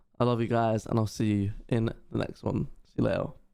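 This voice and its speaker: Fairly quick talking comes from a man with a British accent. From Britain. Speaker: YouTube reactor. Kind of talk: casual video outro.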